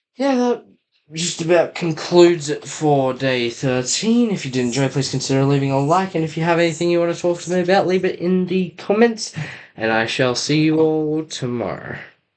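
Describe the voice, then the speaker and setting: With lively intonation and a fairly high pitch, a man speaks in an ordinary speaking voice at a moderate pace. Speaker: YouTuber building toy kits. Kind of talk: casual build vlog. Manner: casual. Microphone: laptop mic.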